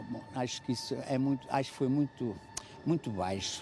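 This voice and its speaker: A man's voice with ordinary pitch variation and music in the background. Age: 70s. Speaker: passer-by interviewed in street vox pop. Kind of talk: street interview. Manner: halting, repetitive.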